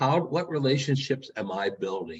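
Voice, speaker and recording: A man speaks at a moderate pace in a somewhat breathy, fairly high voice, with very wide pitch swings. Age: 60s. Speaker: keynote speaker. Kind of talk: motivational keynote address. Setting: virtual meeting.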